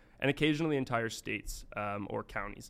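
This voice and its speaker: Over a silent background in a very clean recording, a man at a medium pitch talks at a very fast pace. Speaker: education startup executive. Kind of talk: casual interview. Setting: studio.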